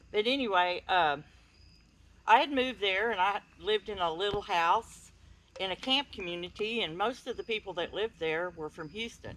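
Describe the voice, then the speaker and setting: With an East Texas accent, a woman speaks at a moderate pace in a medium pitch with ordinary pitch variation. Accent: East Texas Southern US. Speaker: speaker at a paranormal campout. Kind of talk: personal story told to an audience.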